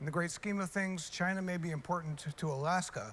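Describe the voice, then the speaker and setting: Fairly high pitch from a man with an ordinary speaking voice, a fairly quick pace and ordinary pitch variation. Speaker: television news reporter. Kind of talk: reporter Q&A segment on a newscast.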